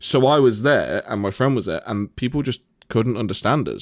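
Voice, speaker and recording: A man with a Nottingham accent at a moderate pace, ordinary pitch variation, dry, close sound with no echo, and a very clean recording with a silent background. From Nottingham, England. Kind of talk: casual, conversational.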